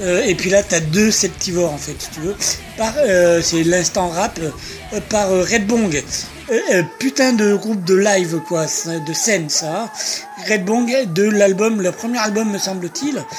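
Against background music, the words come at a very slow pace. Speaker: radio host. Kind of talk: radio show presenting. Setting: studio. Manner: informal, rambling, hesitant with fillers.

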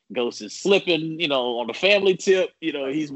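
This man has a plain, everyday voice, pitched fairly high, with lively intonation and a fairly quick pace. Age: 40s. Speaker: sports broadcaster. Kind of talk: casual interview.

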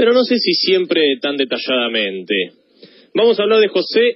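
A man speaks at a moderate pace in a Rioplatense accent, his pitch swinging very widely. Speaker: history columnist. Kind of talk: radio biography segment.

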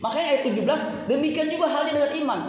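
Noticeable background noise accompanies a very fast voice with an animated tone. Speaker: preacher. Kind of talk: sermon to a live congregation, with call-and-response. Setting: church with congregation. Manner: animated, exhorting, interactive.

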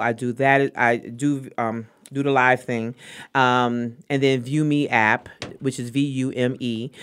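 In a Brooklyn accent, the speaker talks with monotone, flat intonation on a very clean recording with a silent background. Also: woman. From New York, Brooklyn. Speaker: artist promoter. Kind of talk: casual chat. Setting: studio.

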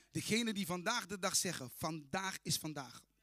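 A man's bright, sharp, animated voice with lively intonation at a moderate pace. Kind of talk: sermon. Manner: animated, fervent, proclaiming.

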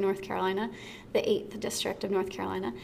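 Speaking at a fairly quick pace, a woman with an American accent has an ordinary speaking voice at a medium pitch. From Texas, Dallas. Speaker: fitness studio owner and podcast host. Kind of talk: casual interview chat. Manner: casual, many fillers (like, um).

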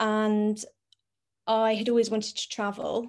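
Against a quiet background, a woman speaks in a London accent at a fairly high pitch. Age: 20s. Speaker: content creator. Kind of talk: casual chat.

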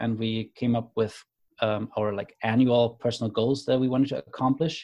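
Here a man speaks in a German accent at a medium pitch. His tone is dark and mellow, and his intonation fairly even. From Germany. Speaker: creator of a conversation card deck. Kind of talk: casual interview conversation.

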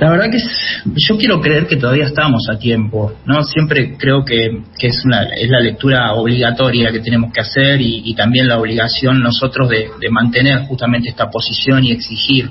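There is noticeable background noise behind a man's medium-pitched voice. His loudness stays very even and his intonation fairly even. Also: moderate pace. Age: 40s. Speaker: author and environmental journalist. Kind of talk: interview.

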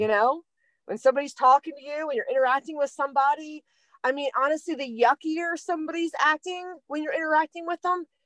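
An American accent marks this woman's fairly quick delivery. Her intonation is lively, and the sound is dry and close with no echo. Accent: Delaware accent, deepens at times. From Delaware, US. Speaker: spiritual podcast co-host. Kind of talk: casual spiritual chat. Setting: recording in a van in the cold.

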